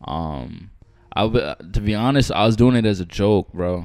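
A man's fairly low voice with a New York accent and ordinary pitch variation, in a very clean recording with a silent background. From Long Island, New York. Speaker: rapper. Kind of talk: casual interview. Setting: studio.

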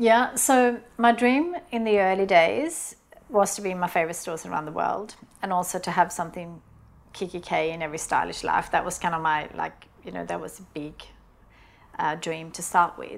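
The speaker has a Swedish accent. The intonation is lively. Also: woman, fairly low pitch for a woman, moderate pace. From Sweden. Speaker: business founder. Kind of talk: interview. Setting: studio. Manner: halting.

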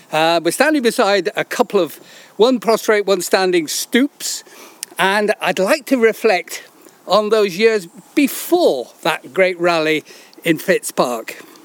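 Over noticeable background noise, a man with a high pitch talks at a very slow pace with lively intonation. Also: dry, close sound with no echo. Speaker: author and walk guide. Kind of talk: conversational guided walk, interviewer. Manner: articulate, formal, descriptive.

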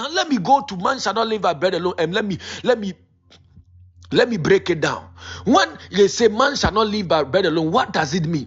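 At a fairly quick pace, a man talks with a high pitch and lively intonation. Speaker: preacher. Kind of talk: sermon. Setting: online prayer meeting.

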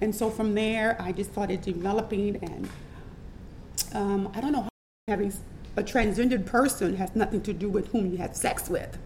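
Speaking with a New Orleans accent, a woman takes long, frequent pauses and keeps her intonation fairly even. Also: medium pitch for a woman, moderate pace. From New Orleans, Louisiana. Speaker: transgender entertainer and model. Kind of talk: interview testimony.

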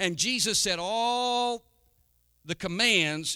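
A man raises and projects his voice, its tone bright and sharp, with lively intonation and a dry, close sound with no echo. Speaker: pastor. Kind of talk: sermon. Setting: church. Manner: warm, earnest pulpit preaching with congregational call-and-response ("Amen?").

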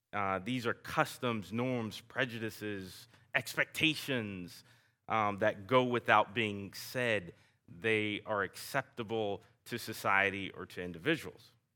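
A man with a Southern US accent speaks at a fairly slow pace in a fairly low pitch. His tone is bright and sharp, and the recording is very clean with a silent background. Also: ordinary pitch variation. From US South. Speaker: guest preacher. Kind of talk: sermon. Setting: church. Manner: informal, self-deprecating.

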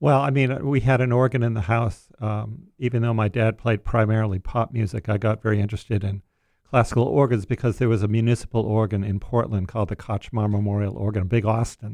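A man with an American accent speaks at a very fast pace with hardly any pauses, at medium pitch and with fairly even intonation. The recording is very clean, with a silent background. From Maine, US. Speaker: church music director and organist. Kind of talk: radio interview.

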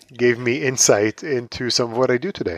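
The speaker talks at a moderate pace with an Israeli accent. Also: man, dry, close sound with no echo. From Israel, Tel Aviv. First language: Hebrew. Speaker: author and pop culture writer. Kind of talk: interview.

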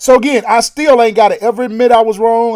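A man speaks very fast in an extremely high pitch, with an American accent and ordinary pitch variation. Music plays in the background. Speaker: radio host.

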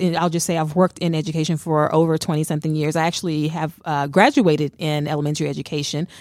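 A woman talking at a very fast pace on a very clean recording with a silent background. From New Orleans, Louisiana. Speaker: gospel singer. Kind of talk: casual chat. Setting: studio.

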